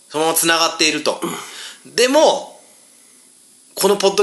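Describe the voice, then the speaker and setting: A man talks at a very fast pace in an animated tone, his pitch swinging very widely. Noticeable background noise runs underneath. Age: 40s. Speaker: podcast host and band guitarist. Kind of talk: casual chat.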